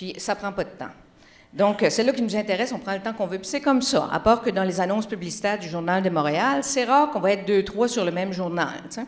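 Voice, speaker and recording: A woman's animated voice in a Magdalen Islands accent, medium in pitch with ordinary variation, at a very fast pace. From Quebec, Magdalen Islands. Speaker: communications researcher. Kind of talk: conference talk.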